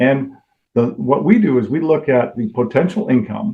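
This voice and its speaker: Using lively intonation, a man with an unremarkable speaking voice talks at a medium pitch. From Toronto, Canada. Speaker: mortgage lender. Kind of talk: podcast interview answer.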